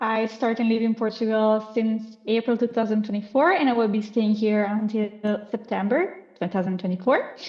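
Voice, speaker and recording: Speaking in an Italian accent, a woman keeps a moderate pace with hardly any pauses, a fairly high pitch, ordinary pitch variation and very even loudness. Noticeable background noise runs underneath. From Italy. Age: 20s. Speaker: marine science student. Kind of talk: podcast interview.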